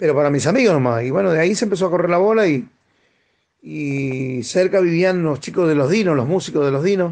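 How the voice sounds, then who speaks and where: Here a man with a high voice speaks at a fairly quick pace, his intonation lively and his loudness very even. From Argentina, Chaco province. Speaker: tropical music singer. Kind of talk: radio interview. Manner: halting, many repetitions.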